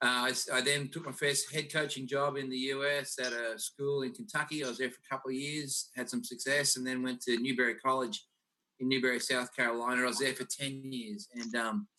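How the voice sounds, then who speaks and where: Bright and sharp in tone, a man with an Australian accent speaks at a medium pitch and a fairly quick pace. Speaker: college basketball coach. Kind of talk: video panel interview. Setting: video call.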